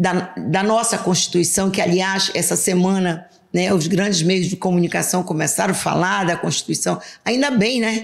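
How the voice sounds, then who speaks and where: Here a woman speaks at a moderate pace and a medium pitch. She has an unremarkable speaking voice. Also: ordinary pitch variation, very even loudness. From Brazil, western Pará (Alenquer). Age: 60s. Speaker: politician, state legislator. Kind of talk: interview.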